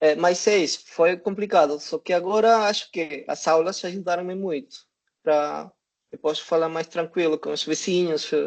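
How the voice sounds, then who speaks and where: Against a quiet background, a man talks in a high pitch. His intonation stays fairly even. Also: moderate pace. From Peru. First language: Spanish (speaking Portuguese). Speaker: language student. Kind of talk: online panel discussion. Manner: halting, many fillers.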